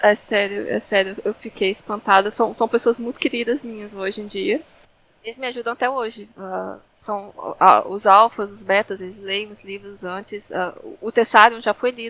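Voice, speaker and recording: A woman with a Brazilian accent, fairly high pitch, a bright and sharp tone, big swings in loudness, fairly even intonation and a moderate pace. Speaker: fantasy author. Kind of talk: interview. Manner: halting, many filler sounds.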